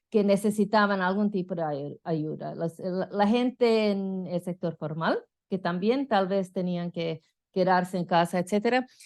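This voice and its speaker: Over a quiet background, a woman with a medium-pitched voice speaks at a fairly slow pace with ordinary pitch variation. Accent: non-native. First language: not Spanish (speaking Spanish). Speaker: political science professor. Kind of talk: conference lecture. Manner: halting, many fillers.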